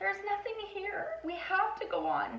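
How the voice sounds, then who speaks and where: A woman's squeaky, put-on character voice at an extremely high pitch, moderate pace, with clear background noise. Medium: read story.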